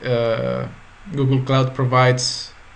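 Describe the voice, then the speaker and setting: With audible room echo and noticeable background noise, a man speaks at a medium pitch. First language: Spanish. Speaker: tech tutorial creator. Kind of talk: tutorial. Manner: halting.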